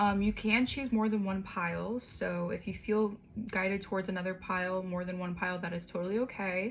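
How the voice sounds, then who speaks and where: Her voice has a somewhat breathy quality. This woman's pitch sits in the medium range. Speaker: tarot reader. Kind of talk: tarot reading. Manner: fast; casual, hesitant with ums.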